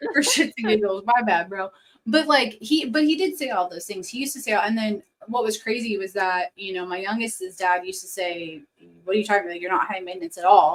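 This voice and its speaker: A woman speaks loudly at a fairly quick pace, her medium-pitched voice carrying lively intonation. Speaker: podcast co-host, mom. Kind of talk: casual chat. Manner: fast, talkative.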